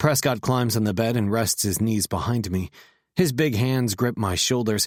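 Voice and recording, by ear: The speaker is reading aloud in a natural voice over a quiet background.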